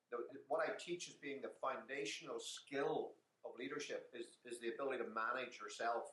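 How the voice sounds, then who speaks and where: A man with an Irish accent at a moderate pace. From Ireland. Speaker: business consultant and author. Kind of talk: interview.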